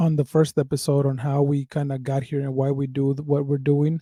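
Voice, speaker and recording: At a moderate pace, a man speaks with a dark, mellow tone and a fairly high pitch. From Mexico, raised from age ten in the Bay Area. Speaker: podcast co-host. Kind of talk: casual chat; reading aloud. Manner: casual, repetitive fillers.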